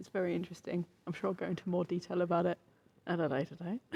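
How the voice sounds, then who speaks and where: Someone whispers quietly. The accent is British. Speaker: gaming podcast co-host, streamer. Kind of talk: casual chat. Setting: live at a video game expo. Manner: whispering, quiet.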